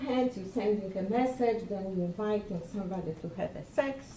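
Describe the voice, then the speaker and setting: Over noticeable background noise, a woman with a non-native accent speaks at a fairly high pitch with lively intonation. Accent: foreign. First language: Polish. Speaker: lecturer. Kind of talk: presentation. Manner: halting.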